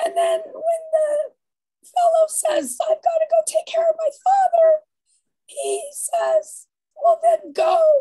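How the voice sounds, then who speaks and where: A woman at a very slow pace, against a quiet background. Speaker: bible study participant. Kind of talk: group discussion. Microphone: video call.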